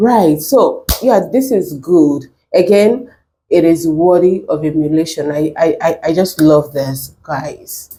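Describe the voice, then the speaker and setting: Somewhat breathy and fairly low-pitched, a woman speaks very slowly with a dark, mellow tone and lively intonation. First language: not English. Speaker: reaction video creator. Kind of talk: reaction commentary.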